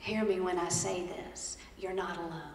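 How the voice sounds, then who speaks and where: Recorded with audible room echo and noticeable background noise, a woman speaks with a Southern accent. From Georgia, US South. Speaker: storyteller and motivational speaker. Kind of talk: motivational keynote with comedy. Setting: stage with audience at a conference. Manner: animated.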